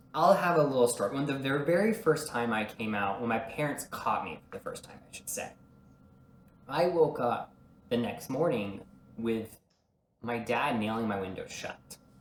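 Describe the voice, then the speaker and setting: With an American accent and an ordinary speaking voice, a man talks at a moderate pace and medium pitch, his intonation lively and his loudness swinging widely. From small-town rural US. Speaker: performer and entrepreneur. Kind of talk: casual chat.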